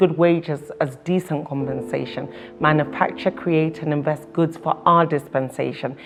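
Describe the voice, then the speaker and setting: Over noticeable background noise, a woman with a fairly low voice speaks at a moderate pace with ordinary pitch variation. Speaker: spoken word poet. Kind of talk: spoken word poetry performance. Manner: rhythmic, rhyming delivery.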